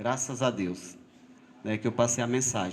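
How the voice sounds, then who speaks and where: Very wide pitch swings and vocal fry from a male speaker. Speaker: lay preacher. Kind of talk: sermon. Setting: church. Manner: halting.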